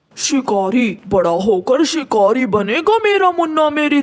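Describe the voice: This cartoonish character voice sits at a high pitch and moves at a very slow pace through very wide pitch swings.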